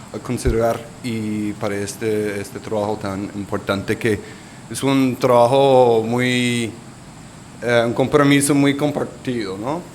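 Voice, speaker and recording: A man with a Colombian accent speaks at a very slow pace in a medium pitch with fairly even intonation. Audible room echo and noticeable background noise surround him. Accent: non-native Spanish, Colombian Spanish. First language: English (speaking Spanish). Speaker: urban resilience advisor. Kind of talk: conference presentation. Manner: halting.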